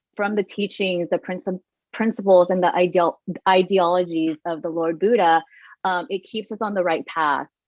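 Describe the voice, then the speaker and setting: A woman talks with a Thai accent and fairly even intonation. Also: medium pitch for a woman, moderate pace. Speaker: meditation event co-host. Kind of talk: casual panel discussion. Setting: live online broadcast. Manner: casual, some stumbling.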